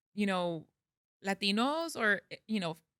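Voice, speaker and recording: Captured as a very clean recording with a silent background and a dry, close sound with no echo, a woman with an American accent talks at a moderate pace in a bright, sharp tone. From US-Mexico border, El Paso and Ciudad Juarez. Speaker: translator and consultant. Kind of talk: casual chat.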